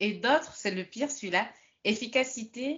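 A woman speaks with lively intonation. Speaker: French conversation partner. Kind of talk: casual chat. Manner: animated.

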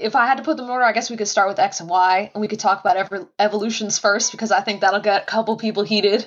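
A woman with a fairly high pitch speaks at a very fast pace with hardly any pauses and fairly even intonation, over noticeable background noise. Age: 20s. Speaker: Pokemon card collector. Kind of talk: casual chat.

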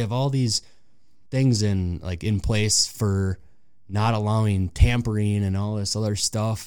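With an American accent, a man speaks in a normal speaking voice at a fairly low pitch, captured in a very clean recording with a silent background. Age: 30s. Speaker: sports fan guest. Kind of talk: casual chat. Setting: studio.

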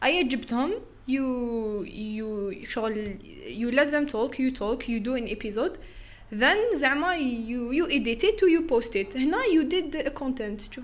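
Her pitch is high, and her intonation is lively. The woman talks at a fairly slow pace. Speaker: content creator. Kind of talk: casual chat. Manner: animated, frequent code-switching and laughter.

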